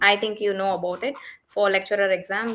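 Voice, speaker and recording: Against a quiet background, a woman with a Tamil accent speaks in a medium pitch with a bright, sharp tone. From Tamil Nadu, India. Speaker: English teacher. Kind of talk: casual conversation. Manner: halting.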